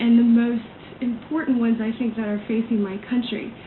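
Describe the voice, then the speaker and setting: Noticeable background noise sits under the recording. A woman with an American accent speaks in a fairly high voice. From US South, Atlanta, Georgia. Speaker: political campaign volunteer. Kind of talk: radio interview. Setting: radio studio.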